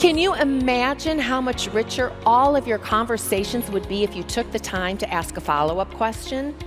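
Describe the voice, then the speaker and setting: A woman speaks at a fairly high pitch with very wide pitch swings. She keeps a moderate pace with hardly any pauses as music plays behind her. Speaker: keynote speaker. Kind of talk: keynote speech. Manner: humorous, engaging.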